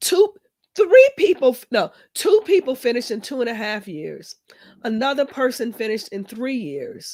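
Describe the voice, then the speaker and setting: A woman talks with high pitch and very wide pitch swings. Her loudness swings widely too. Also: moderate pace. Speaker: podcast host, doctoral coach and professor. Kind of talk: casual podcast chat.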